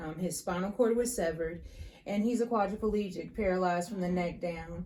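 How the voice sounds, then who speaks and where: The voice keeps a fairly even intonation, with audible room echo around it. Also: woman. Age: 30s. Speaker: crime survivor and caregiver. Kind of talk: testimony. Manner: halting, frequent fillers.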